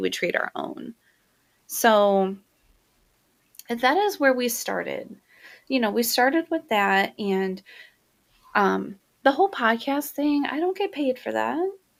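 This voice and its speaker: In a very clean recording with a silent background, a soft-spoken woman with a high pitch talks at a fairly slow pace with very wide pitch swings. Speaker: podcast host and cleaning business owner. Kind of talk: casual monologue podcast. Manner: casual, filler-heavy.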